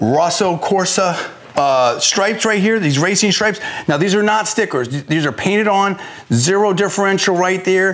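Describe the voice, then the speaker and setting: Over music in the background, a man with a high-pitched voice talks at a moderate pace. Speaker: car salesperson. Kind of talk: product walkaround presentation. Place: shop. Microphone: lapel.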